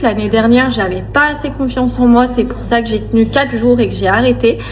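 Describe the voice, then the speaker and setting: Noticeable background noise runs beneath a woman's voice as she talks at a moderate rate. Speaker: family vlogger. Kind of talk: casual vlog talk to camera. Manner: hesitant, many fillers.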